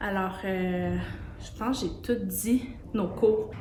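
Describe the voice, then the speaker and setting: Very slowly, a woman speaks in a Quebec accent at a medium pitch. There is noticeable background noise and audible room echo. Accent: Québécois French. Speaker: sewing studio owner. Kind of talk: casual promotional talk. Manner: hesitant, many fillers.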